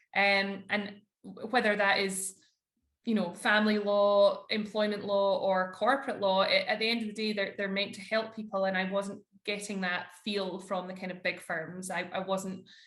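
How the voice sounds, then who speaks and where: A woman with a Scottish accent speaks at medium pitch in a monotone, flat delivery, with audible echo in the room. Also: moderate pace. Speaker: corporate lawyer. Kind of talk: podcast interview.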